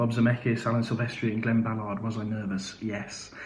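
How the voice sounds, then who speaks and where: A man's fairly quick talking comes through noticeable background noise and audible echo from the room. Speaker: musical theatre actor. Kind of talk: live Q&A. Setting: live video stream. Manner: hesitant, many fillers.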